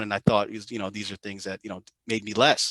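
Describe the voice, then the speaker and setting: A very fast, bright and sharp voice, dry and close with no echo, against a quiet background. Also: man. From Jamaica. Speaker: venture capitalist and entrepreneur. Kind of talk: podcast interview. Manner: casual, many fillers.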